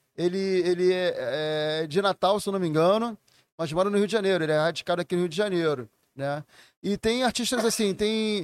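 Recorded dry and close with no echo against a silent background, a man with a high voice speaks at a moderate pace with ordinary pitch variation. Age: 40s. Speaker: record label owner. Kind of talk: casual chat.

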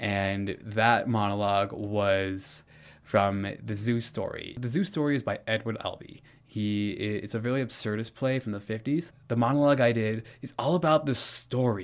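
An ordinary speaking voice, from a man with an American accent, at a medium pitch and moderate pace, with ordinary pitch variation, on a very clean recording with a silent background. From California. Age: 20s. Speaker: theater instructor. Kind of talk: interview.

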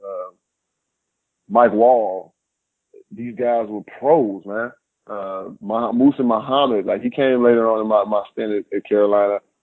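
In an American accent, a man at a medium pitch speaks at a fairly slow pace with ordinary pitch variation. His delivery has long, frequent pauses and big swings in loudness. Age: 30s. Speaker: former football player. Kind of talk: casual interview.

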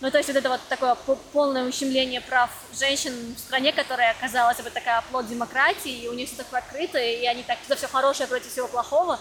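A woman with a high voice speaks at a very fast pace with fairly even intonation. Noticeable background noise is present. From Russia. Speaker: podcast host. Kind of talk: casual interview chat.

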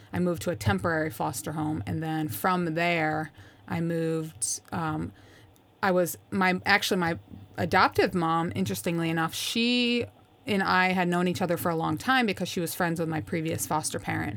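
In an American accent, a woman with a fairly low pitch speaks at a moderate pace with very wide pitch swings, on a very clean recording with a silent background. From upstate New York. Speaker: Air Force senior NCO. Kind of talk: casual interview.

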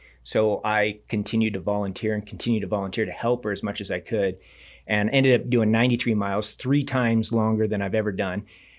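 A man with an American accent talks very fast in a fairly low, monotone voice with flat intonation. The recording is very clean, with a silent background. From Reno, Nevada. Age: 40s. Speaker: ultra-endurance coach and athlete. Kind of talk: casual interview.

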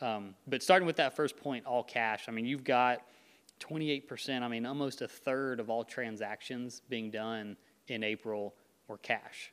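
Speaking at a moderate pace and medium pitch with ordinary pitch variation, a man has an unremarkable speaking voice. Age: 30s. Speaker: real estate agent. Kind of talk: casual chat. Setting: studio.

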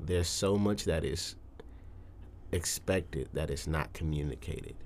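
Vocal fry runs through this man's speech. His pitch is very deep and low. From Detroit, Michigan. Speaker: musician. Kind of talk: casual chat.

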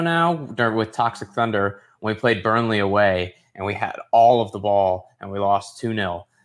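On a very clean recording with a silent background, a man with an ordinary speaking voice talks at medium pitch and a fairly slow pace. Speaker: podcast co-host, football fan. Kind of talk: casual chat.

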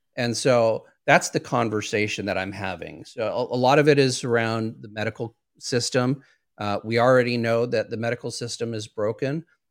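A man with an ordinary speaking voice speaks at a moderate pace, medium pitch and fairly even intonation on a very clean recording with a silent background. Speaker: therapist and trainer. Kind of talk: interview. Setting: live video show.

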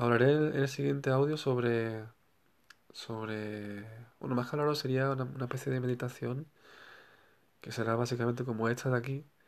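Long pauses appear frequently. Between them the talking moves at a moderate pace. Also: man, medium pitch for a man. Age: 30s. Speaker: spiritual healer podcaster. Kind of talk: solo spiritual talk. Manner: halting, many repetitions and fillers.

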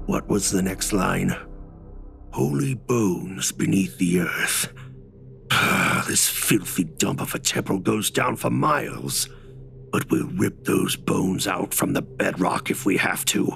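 A man uses a put-on character voice with a very deep, low pitch and very wide pitch swings. He speaks at a fairly slow pace with very even loudness, while clear music plays in the background. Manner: muttering.

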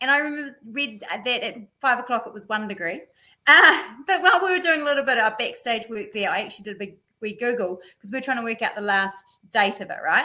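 A woman speaks very fast at a fairly high pitch with a New Zealand accent, her bright, sharp tone carrying lively intonation and big swings in loudness. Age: 40s. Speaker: amateur mountain biker. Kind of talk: casual chat.

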